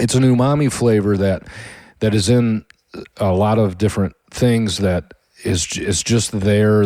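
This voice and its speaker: This man speaks with a Midwestern American accent in a dark, mellow tone. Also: very clean recording, silent background. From Michigan, US Midwest. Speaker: podcast host, home cook. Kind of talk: casual monologue. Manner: halting.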